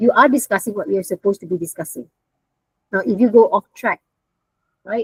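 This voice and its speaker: A woman with a medium pitch and a somewhat breathy voice speaks at a moderate pace with lively intonation. There are long, frequent pauses, and the sound is dry and close with no echo. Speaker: university lecturer. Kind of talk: online lecture. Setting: video call.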